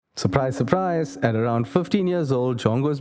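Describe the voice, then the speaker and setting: Music can be heard behind the speaker. He is a man talking at a moderate speed. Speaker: amateur narrator. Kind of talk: story narration for short film.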